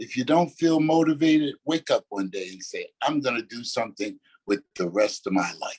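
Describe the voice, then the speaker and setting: With an ordinary speaking voice at a fairly high pitch, a man talks at a moderate pace in a dry, close sound with no echo. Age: 60s. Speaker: retired motivational speaker. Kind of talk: motivational talk.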